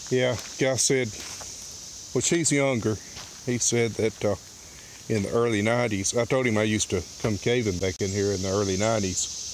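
The speech moves at a moderate pace. The sound is dry with no echo, with noticeable background noise. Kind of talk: casual vlog chat. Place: open country. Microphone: phone near.

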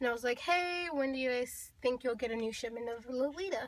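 A woman speaks at a high pitch with fairly even intonation. The sound is dry, with no echo. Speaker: beauty vlogger. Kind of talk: casual vlog chat. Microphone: phone near.

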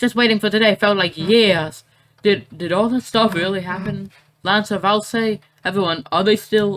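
It's a natural reading voice with fairly even intonation.

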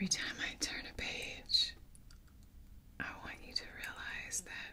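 A woman whispering in a gentle tone at a fairly slow pace, with big swings in loudness over light background noise. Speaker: content creator. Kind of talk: soft, intimate address to the viewer. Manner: gentle close whisper. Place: home room.

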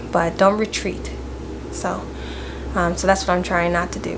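A woman speaks over noticeable background noise. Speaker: family vlogger. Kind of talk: casual vlog chat. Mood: grieving, sad. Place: home room. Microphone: phone near.

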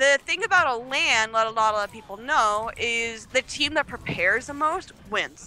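A woman with a high pitch and a bright, sharp tone speaks at a moderate pace with lively intonation and hardly any pauses. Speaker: esports organization owner. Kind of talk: casual livestream chat.

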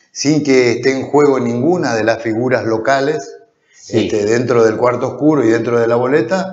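A man speaks at a moderate pace against a quiet background, with audible room echo. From Corrientes, Argentina. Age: 50s. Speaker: politician, council candidate. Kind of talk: political interview. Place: studio. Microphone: lapel.

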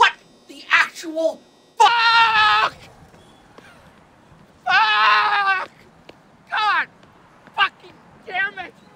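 An extremely high-pitched voice shouts at a very slow pace, with long, frequent pauses. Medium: short film. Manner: ranting, profane, desperate.

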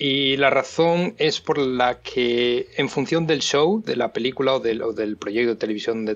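A man with a Castilian accent speaks at a fairly slow pace. His voice sits at a medium pitch with ordinary pitch variation. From Spain. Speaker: visual effects supervisor. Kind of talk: casual interview chat. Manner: halting.

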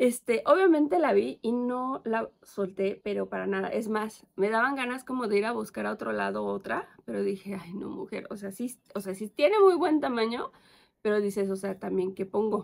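A woman's animated, moderately paced speech with hardly any pauses. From Mexico, Querétaro. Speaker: plant YouTuber. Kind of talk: casual vlog haul. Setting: outdoors in garden. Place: garden. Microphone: phone near.

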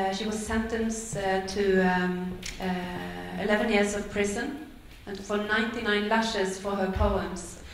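Very slow speech over light background noise, with audible echo in the room. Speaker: event moderator. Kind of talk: event moderation. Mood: serious, somber. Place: hall. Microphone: camera far.

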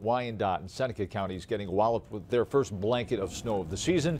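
This is an ordinary speaking voice with lively intonation. The pace is fairly quick. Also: man. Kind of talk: TV news anchor intro.

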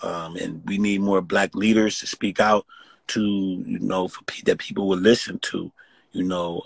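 In a dry sound with no echo and a quiet background, a man with an American accent speaks at a moderate pace. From US Midwest, East Cleveland, Ohio; Ohio. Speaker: singer; interview guest. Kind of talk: casual chat. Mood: earnest, reflective. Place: home room. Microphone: phone near.

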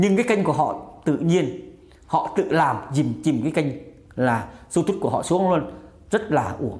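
Over a quiet background with audible room echo, a man talks at a fairly slow pace with long, frequent pauses, his fairly high voice carrying vocal fry and lively intonation at a very even loudness. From Vietnam. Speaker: YouTube commentary vlogger. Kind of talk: casual monologue commentary. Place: home room. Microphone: lapel.

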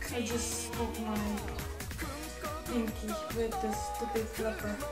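A woman speaks at a very slow pace. Loud music plays in the background. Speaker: hair tutorial vlogger. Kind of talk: casual talk to camera. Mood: annoyed, in pain. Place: bathroom. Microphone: phone near.

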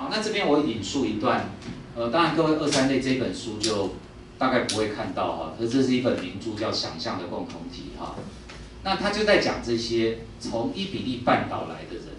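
Over noticeable background noise and audible room echo, a man's voice swings very widely in pitch. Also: medium pitch for a man. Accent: Taiwanese. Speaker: high school history teacher. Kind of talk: lecture. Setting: classroom. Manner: fast.

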